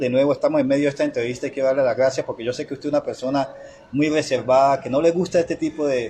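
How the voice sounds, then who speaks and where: A man at a very fast pace, fairly high in pitch for a man, with fairly even intonation. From Chocó, Colombia. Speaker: interviewer. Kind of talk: interview. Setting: interviewee's home.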